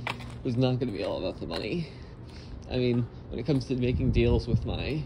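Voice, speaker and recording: Moderate-paced male speech amid noticeable background noise. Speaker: channel owner vlogger. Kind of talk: casual vlog chat. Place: station. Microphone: phone near.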